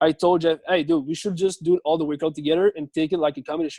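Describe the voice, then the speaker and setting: A man talks at a very fast pace with a French Canadian accent and flat, monotone intonation. The sound is dry and close, with no echo. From Quebec. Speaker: CrossFit athlete. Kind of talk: interview. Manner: halting.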